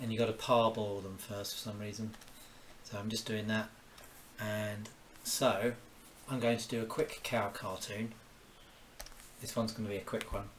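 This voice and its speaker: Speaking with a southeast English accent, a man keeps a medium pitch and fairly even intonation at a fairly slow pace. Noticeable background noise runs underneath. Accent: southeast English, near-London. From southeast England, Kent (Orpington). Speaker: cartoonist. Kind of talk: live-stream drawing commentary. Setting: at home, cooking while streaming. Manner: casual, thinking aloud with exclamations.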